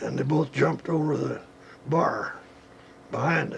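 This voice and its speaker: With noticeable noise behind him, a man talks at a moderate speed. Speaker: gun writer recounting childhood memory. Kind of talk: oral history anecdote, storytelling interview. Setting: archival recording.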